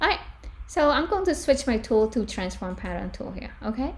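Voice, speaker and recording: A woman with a non-native accent is heard with audible room echo. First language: not English. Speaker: fashion design tutor. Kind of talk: tutorial. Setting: live stream.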